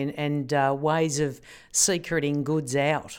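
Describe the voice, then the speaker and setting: Someone with an Australian accent is heard in a very clean recording with a silent background. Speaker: podcast host. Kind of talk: interview.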